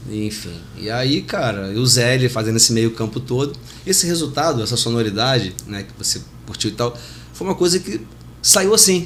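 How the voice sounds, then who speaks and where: Speaking at a moderate pace and medium pitch, a man with an unremarkable speaking voice uses lively intonation. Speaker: reggae singer. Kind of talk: casual chat.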